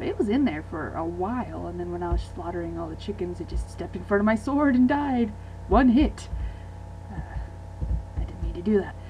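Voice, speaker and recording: A woman speaks at a fairly quick pace, with long, frequent pauses. Room echo is audible. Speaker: gaming video creator. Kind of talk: casual gameplay commentary and Q and A. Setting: home recording late at night. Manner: quiet.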